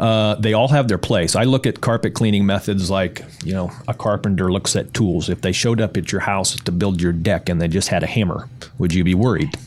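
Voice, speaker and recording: Over noticeable background noise, a man with a fairly low pitch speaks at a fairly quick pace with hardly any pauses, ordinary pitch variation and very even loudness. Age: 50s. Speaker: carpet cleaning business owner. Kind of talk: interview.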